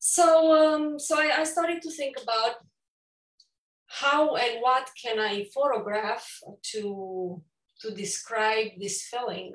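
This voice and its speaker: Speaking very slowly with long, frequent pauses, a woman with a Romanian accent uses a high pitch and lively intonation. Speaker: photographer and author. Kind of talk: virtual book launch talk. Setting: virtual event. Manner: halting, many fillers.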